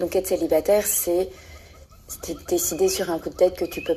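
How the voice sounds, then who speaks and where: Against noticeable background noise, a woman with a fairly low pitch speaks at a moderate pace in a monotone, flat intonation. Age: 20s. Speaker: listener sharing her experience. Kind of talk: recorded voice message monologue. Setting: voice message.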